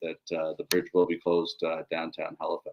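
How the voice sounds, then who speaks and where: This is a male speaker. His delivery comes at a moderate speed. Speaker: podcast host, fight league co-owner. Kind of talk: casual chat. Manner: monotone.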